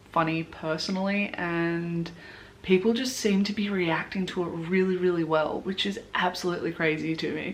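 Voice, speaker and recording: An animated woman speaks at a moderate pace in a fairly low pitch with an Australian accent. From Australia, Blue Mountains, New South Wales. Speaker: beauty vlogger. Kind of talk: casual chat.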